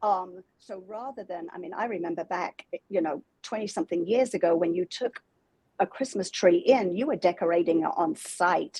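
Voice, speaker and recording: A woman talks at a moderate pace in a medium pitch with ordinary variation, her tone dark and mellow. The sound is dry and close with no echo, and her loudness swings widely. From England. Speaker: holiday decor business owner. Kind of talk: interview.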